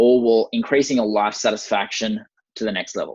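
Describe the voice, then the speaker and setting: A man talking at a fairly quick pace. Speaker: performance coach. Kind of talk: webinar presentation. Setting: online webinar. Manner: very fast.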